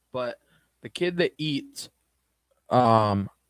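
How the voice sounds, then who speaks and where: There is no echo at all, and the sound is dry and close. This man was captured in a very clean recording against a silent background. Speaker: streamer. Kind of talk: casual live stream chat. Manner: slow.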